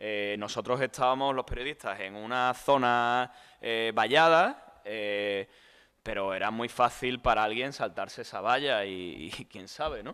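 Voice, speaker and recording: A man's bright, sharp voice at a medium pitch moves at a fairly slow pace with ordinary pitch variation and big swings in loudness, on a very clean recording with a silent background. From Spain, Andalusia (Tomares, Seville). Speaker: journalist and author. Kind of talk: book presentation interview. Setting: book fair talk with audience.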